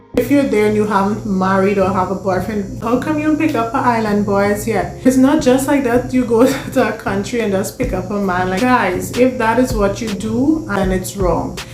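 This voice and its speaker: A woman talks at a moderate pace with hardly any pauses and ordinary pitch variation, over noticeable background noise and audible room echo. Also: medium pitch for a woman. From Guyana. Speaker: lifestyle vlogger. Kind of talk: casual vlog monologue.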